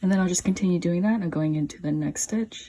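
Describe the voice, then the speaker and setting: A woman speaks in a fairly low, somewhat breathy voice with a dark, mellow tone. Her pitch varies an ordinary amount. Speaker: crochet tutorial maker. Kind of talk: tutorial. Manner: casual.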